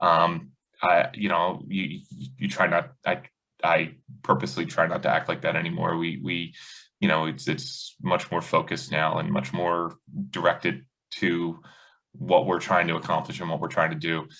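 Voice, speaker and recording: Loud and bright with a sharp edge, a man's voice carries vocal fry, ordinary pitch variation and a moderate pace. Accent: American. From US Northeast, South Jersey. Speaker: high school basketball coach. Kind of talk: podcast interview.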